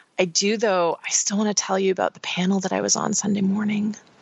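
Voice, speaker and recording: In a put-on character voice, a woman talks very fast at a medium pitch, raspy and monotone, her loudness very even. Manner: hesitant, nervous.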